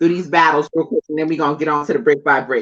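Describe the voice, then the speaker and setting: Her voice fairly low, a woman speaks with an animated, bright and sharp tone. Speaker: battle rap commentator. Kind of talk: casual podcast discussion.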